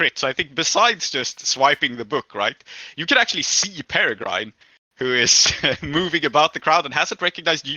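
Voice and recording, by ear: Natural-voiced reading aloud with ordinary variation in pitch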